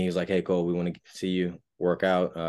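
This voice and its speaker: A very fast-talking man with an American accent and a very deep, low pitch against a quiet background. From US South, Raleigh, North Carolina. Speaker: college football player, draft prospect. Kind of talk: interview.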